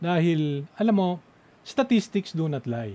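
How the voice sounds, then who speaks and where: Somewhat breathy, with a dark, mellow tone, a man speaks at a moderate pace. His pitch swings very widely. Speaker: radio host. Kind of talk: radio panel talk show. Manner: animated.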